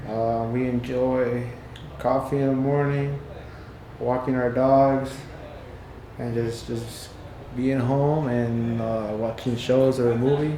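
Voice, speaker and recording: Over noticeable background noise and audible room echo, a man speaks at medium pitch with monotone, flat intonation. His pace is very slow, broken by long, frequent pauses. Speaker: window tint and paint protection installer and sales rep. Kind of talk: casual interview. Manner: halting, many fillers.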